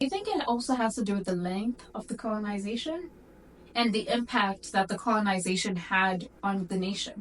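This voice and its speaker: With an American accent, a woman talks at a fairly high pitch, her pitch varying in an ordinary way. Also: moderate pace. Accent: sounds American now, formerly more British. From Zimbabwe / South Africa. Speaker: guest. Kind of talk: casual chat.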